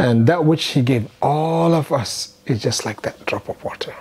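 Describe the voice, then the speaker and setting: A man with a Nigerian accent and ordinary pitch variation. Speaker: Islamic scholar and lecturer. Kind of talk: religious reminder talk. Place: home room. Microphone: lapel.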